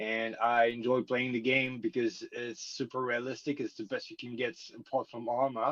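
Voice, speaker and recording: Speaking with a French accent, a man holds a medium pitch in a monotone, flat intonation. He keeps a moderate pace with hardly any pauses. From France. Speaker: army veteran and gamer. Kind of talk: podcast introduction. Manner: halting.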